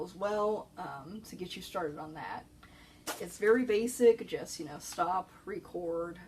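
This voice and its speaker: A soft-spoken woman talks at a moderate pace with ordinary pitch variation, and her loudness swings widely. Noticeable noise sits in the background. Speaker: librarian. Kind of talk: informational talk. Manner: hesitant with fillers.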